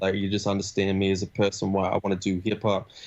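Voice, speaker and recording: A man's fairly low voice with an Australian accent at a fairly quick pace. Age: 20s. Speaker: rapper. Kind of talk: interview. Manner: casual, halting.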